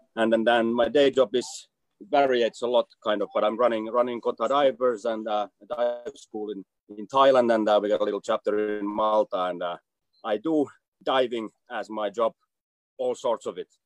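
Music in the background beneath a man speaking with fairly even intonation. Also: medium pitch for a man, moderate pace. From Finland. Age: 40s. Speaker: diving instructor. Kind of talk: casual chat.

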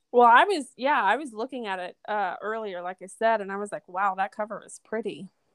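In a dry, close recording with no echo and a quiet background, a woman with a normal speaking voice talks at a fairly high pitch and a fairly quick pace, with hardly any pauses and big swings in loudness. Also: ordinary pitch variation. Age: 30s. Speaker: podcast host. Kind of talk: casual interview chat.

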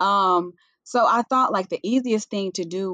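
A woman with a Southern US accent, medium in pitch, at a moderate pace against a quiet background. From US South, western Tennessee. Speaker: natural hair influencer and brand founder. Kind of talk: casual interview.

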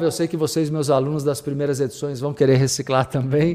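A man speaks in an upbeat, warm tone. His voice is also dark and mellow. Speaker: radio host and spiritual teacher. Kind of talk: radio dj patter: live radio show host chat with station and channel plugs. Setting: radio studio broadcast, streamed online. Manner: upbeat, warm, direct audience address, chatty and promotional.

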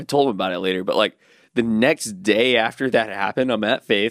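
The voice has ordinary pitch variation at a moderate pace, recorded dry and close with no echo. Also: man. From US South, Alabama (Birmingham area). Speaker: skateboarder. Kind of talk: casual chat.

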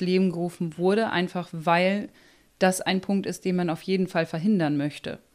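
A plain, everyday voice from a woman, medium in pitch with fairly even intonation, over a quiet background. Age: 30s. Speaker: psychologist. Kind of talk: interview.

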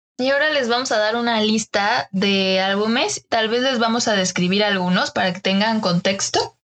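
A woman with a Mexican accent speaks with hardly any pauses. Her pitch is fairly high, with ordinary variation. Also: moderate pace. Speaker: design podcast host. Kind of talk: casual chat.

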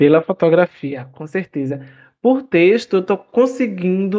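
A man with a high pitch speaks at a moderate pace. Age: 20s. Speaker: photographer and podcaster. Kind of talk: casual interview.

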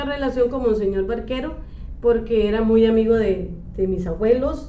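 A woman with a fairly high pitch talks at a moderate pace. Noticeable background noise and audible room echo surround her voice. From Costa Rica, El Coyol (Alajuela). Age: 50s. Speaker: church office worker. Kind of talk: interview. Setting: church office.

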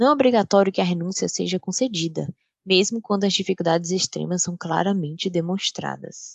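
Speaking at a fairly quick pace with a Brazilian accent, a woman's medium-pitched voice comes through dry and close with no echo. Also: ordinary pitch variation. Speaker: paralegal. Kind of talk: scripted narration.

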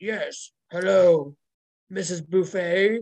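A put-on character voice, female-sounding and gravelly. It sits at a middle pitch.

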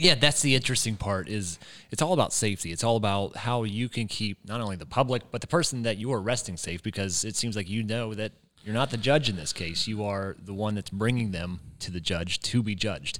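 Talking at a fairly quick pace, a man with an American accent has a fairly low pitch with ordinary variation in a very clean recording with a silent background. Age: 20s. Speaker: local reporter and podcast host. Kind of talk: interview conversation.

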